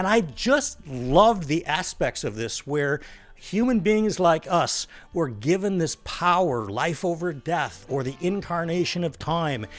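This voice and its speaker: Lively intonation at a fairly slow pace, with music in the background. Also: man, high pitch for a man. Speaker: book reviewer YouTuber. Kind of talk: casual book review vlog.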